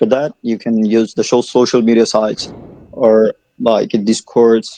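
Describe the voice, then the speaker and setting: A man's dark, mellow tone, dry and close with no echo. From Bangladesh, Sylhet. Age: 20s. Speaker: student and business owner. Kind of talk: casual conversation practice call.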